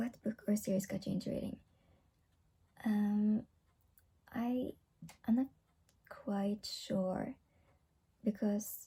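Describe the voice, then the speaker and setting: Someone with a non-native accent talks at a very slow pace, leaving long, frequent pauses. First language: not English. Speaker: book vlogger. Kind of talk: casual vlog monologue. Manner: halting.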